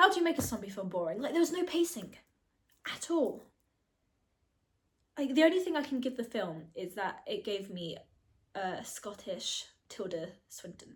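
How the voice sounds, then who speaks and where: An American-accented woman speaks in a high voice at a moderate pace, with long, frequent pauses. Her loudness swings widely and her pitch swings very widely. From not US. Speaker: film review vlogger. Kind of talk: casual solo vlog review. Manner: chatty with many fillers.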